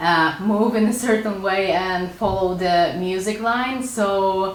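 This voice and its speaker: A woman talks in a Polish accent. Audible room echo and noticeable background noise accompany her voice. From Poland. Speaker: artist and illustrator YouTuber. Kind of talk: casual Q&A video. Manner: casual with frequent hesitations.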